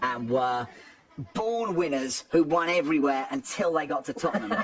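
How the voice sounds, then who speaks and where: Lively intonation at a fairly quick pace amid noticeable background noise. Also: man. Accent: English. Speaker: football commentator. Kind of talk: casual chat.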